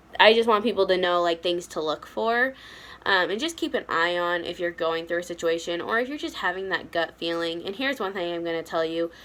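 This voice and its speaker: At a moderate pace, a woman talks in a normal speaking voice, medium in pitch with ordinary pitch variation. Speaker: vlogger sharing personal abuse story. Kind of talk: personal testimony vlog.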